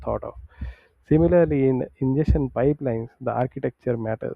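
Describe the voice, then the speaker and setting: A man talks at a fairly quick pace with fairly even intonation. He has an unremarkable speaking voice. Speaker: tech tutorial creator. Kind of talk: tutorial. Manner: many fillers.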